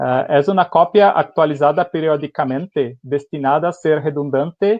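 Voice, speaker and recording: A man speaks with a Brazilian accent. His pitch is fairly high, with ordinary variation. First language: Portuguese (speaking Spanish). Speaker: company engineer presenting technology. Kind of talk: webinar presentation. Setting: online webinar. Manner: halting, many fillers.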